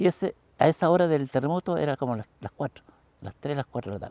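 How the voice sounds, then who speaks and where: A man talks at a very fast pace with a fairly high pitch, a dark, mellow tone and vocal fry. The sound is dry and close with no echo, and the background is quiet. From southern Chile, Los Lagos (Los Ríos Region). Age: 80s+. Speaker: photographer and retired teacher, eyewitness. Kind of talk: interview testimony. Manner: halting, many repetitions.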